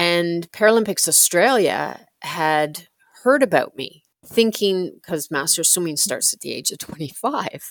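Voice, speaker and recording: At a fairly slow pace, a woman with an ordinary speaking voice talks at a fairly low pitch, her intonation lively and her loudness swinging widely. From Canada. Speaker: paracyclist. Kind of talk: interview.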